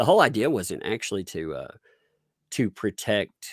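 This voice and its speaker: A man with a Southern US accent at a fairly quick pace, in a dry, close sound with no echo. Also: very clean recording, silent background. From Tennessee. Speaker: online commentator. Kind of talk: casual chat.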